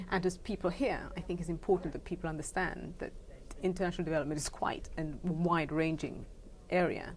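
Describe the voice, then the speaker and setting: Talking at a very fast pace, a woman with a British accent keeps a fairly low pitch and fairly even intonation. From England and the Caribbean. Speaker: education charity founder. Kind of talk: interview.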